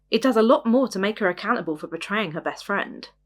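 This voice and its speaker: A woman speaks with an English accent and lively intonation. The recording is very clean, with a silent background. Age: 20s. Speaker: podcast host. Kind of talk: casual monologue review. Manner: animated.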